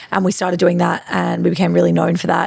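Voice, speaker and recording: A woman is speaking. She has an Australian accent. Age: 30s. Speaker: fashion boutique owner. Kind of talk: interview conversation. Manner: loud and extroverted; fast, animated.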